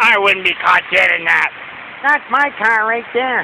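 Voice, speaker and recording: The man's voice is extremely high and fairly slow, with a dry sound with no echo and noticeable background noise. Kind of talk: casual vlog chat. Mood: joking, playful. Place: street. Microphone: phone near.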